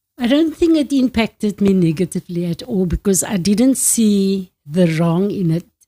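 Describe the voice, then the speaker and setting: A woman's somewhat breathy, dark and mellow voice at medium pitch, moderate pace with hardly any pauses, lively intonation, and a dry, close sound with no echo. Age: 70s. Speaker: retiree sharing life story. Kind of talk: interview. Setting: family home.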